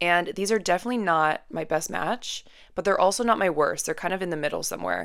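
With a Western Canadian accent, a woman speaks at a fairly low pitch with ordinary pitch variation in a very clean recording with a silent background. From Canada, Vancouver. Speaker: podcast host. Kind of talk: casual monologue. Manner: chatty, filler-heavy.

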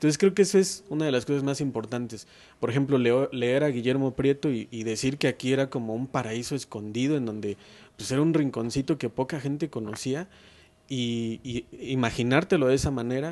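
A man speaks at a fairly quick pace in a plain, everyday voice, pitched at a medium level. His pitch varies in an ordinary way, and the background is quiet. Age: 30s. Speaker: writer and local historian. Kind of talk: interview.

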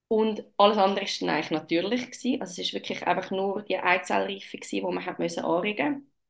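A medium-pitched woman at a very fast pace. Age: 30s. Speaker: mother sharing birth story. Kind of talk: personal testimony. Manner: hesitant, many filler sounds.

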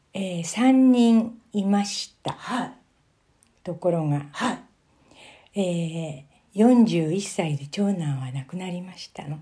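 Speaking very slowly with long, frequent pauses, a woman with a medium-pitched, somewhat breathy voice and a dark, mellow tone uses lively intonation and big swings in loudness. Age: 70s. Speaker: elderly interviewee telling life story. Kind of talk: interview, life-story recounting.

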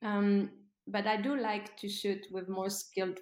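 A woman at a medium pitch, fairly slow pace, with a French accent. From France. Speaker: fine art model and former ballet dancer. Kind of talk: interview.

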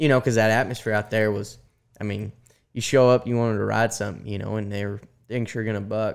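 A man speaks at a very fast pace in an American accent, his fairly low voice monotone and flat. The recording is very clean, with a silent background. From Colorado. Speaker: professional bull rider. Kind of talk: interview. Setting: studio.

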